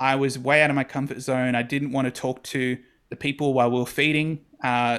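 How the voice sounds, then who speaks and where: This man has an Australian accent and a fairly high pitch. He talks at a fairly quick pace. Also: very clean recording, silent background. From South West Sydney, Australia. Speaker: church ministry worker and podcaster. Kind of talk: casual interview chat.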